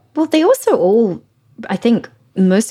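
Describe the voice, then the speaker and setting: A woman with an English accent speaks at a moderate pace, her intonation lively. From England. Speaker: culture staff writer. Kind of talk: casual chat.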